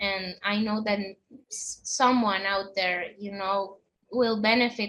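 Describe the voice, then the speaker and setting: The speaker has a Spanish accent. Delivery is at a fairly slow pace. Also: woman. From Honduras. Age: 20s. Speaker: guest sharing a religious conversion story. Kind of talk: testimony. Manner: halting.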